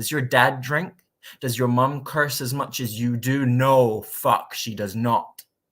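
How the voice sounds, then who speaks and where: A man with a Scottish accent, medium pitch, a very slow pace and fairly even intonation. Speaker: spoken word poet. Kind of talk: spoken word poetry performance.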